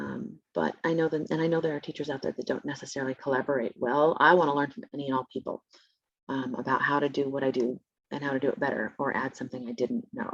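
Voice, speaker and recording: Delivering at a very fast pace, a woman with a very deep, low pitch shows ordinary pitch variation in a dry, close sound with no echo. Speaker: special education teacher presenting a webinar. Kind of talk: webinar presentation. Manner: casual, with frequent fillers.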